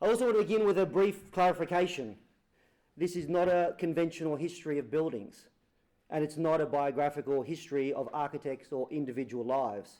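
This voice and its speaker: A man with an Australian accent talks at a fairly quick pace, his fairly high voice carrying a dark, mellow tone. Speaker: photographer and author. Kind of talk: lecture.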